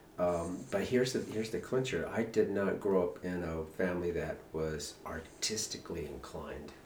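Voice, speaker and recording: A man talks in a very deep, low voice with hardly any pauses. Noticeable background noise sits behind him. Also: ordinary pitch variation, moderate pace. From northern New Mexico. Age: 50s. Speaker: painter. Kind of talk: casual chat. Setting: artist's studio.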